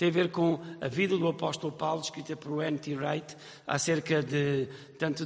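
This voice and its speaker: A high-pitched man with a European Portuguese accent at a moderate pace, over noticeable background noise. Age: 50s. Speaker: pastor. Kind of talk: sermon.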